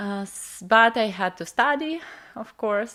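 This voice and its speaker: A woman is speaking. She has a Russian accent. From Russian Far East. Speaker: spiritual coach. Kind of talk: interview.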